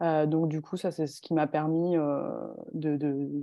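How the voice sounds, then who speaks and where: Her very deep, low voice moves at a very slow pace in a flat monotone. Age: 20s. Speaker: long-distance cycle traveller. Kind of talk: interview.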